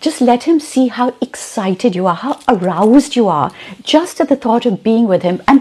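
This woman's pitch ranges very widely. Her tempo is moderate. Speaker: storyteller answering viewer questions. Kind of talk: advice talk to camera. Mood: warm, expressive, intimate. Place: home room.

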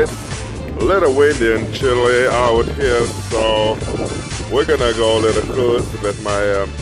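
A man speaks at a fairly slow pace. Music plays clearly behind him. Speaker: vlogger. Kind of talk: casual vlog chat. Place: street. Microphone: phone near.

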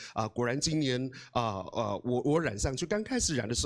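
Lively intonation from a man, quiet background behind him. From Taiwan, Amis village in Hualien; Taiwan. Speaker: guest. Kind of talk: motivational talk. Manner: hesitant, many fillers; animated. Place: hall. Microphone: handheld.

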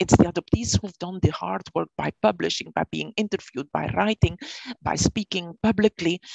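Against a quiet background, a woman speaks at a moderate pace with big swings in loudness, and the sound is dry with no echo. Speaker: professor of history. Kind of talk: lecture. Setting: video call. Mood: earnest, measured. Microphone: video call.

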